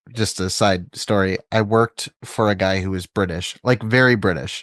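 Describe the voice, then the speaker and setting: Against a quiet background, a man with an American accent and a fairly low pitch speaks fairly slowly with ordinary pitch variation, the sound dry and close with no echo. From California. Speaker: podcast host. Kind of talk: casual chat.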